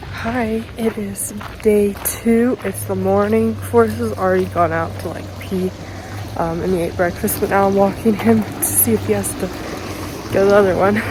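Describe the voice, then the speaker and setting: A woman talks at a moderate speed, her voice carrying audible room echo over noticeable background noise. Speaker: vlogger with service dog. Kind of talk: casual vlog narration.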